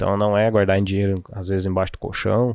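Dry and close with no echo, this very clean recording with a silent background captures a man's fairly low pitch and monotone, flat intonation. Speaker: financial educator. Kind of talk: casual chat. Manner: well-spoken.

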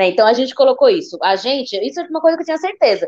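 A woman talking at a very fast pace. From São Paulo state coast, Santos. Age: 20s. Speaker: city councillor. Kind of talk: casual interview.

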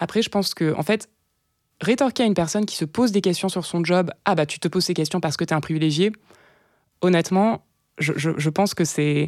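A woman's fairly low voice at a fairly quick pace, with ordinary pitch variation and big swings in loudness, on a very clean recording with a silent background. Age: 20s. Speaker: community co-founder and author. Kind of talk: interview. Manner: hesitant.

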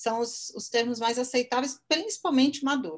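A woman's voice with ordinary pitch variation. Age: 50s. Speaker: marketing entrepreneur. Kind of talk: interview.

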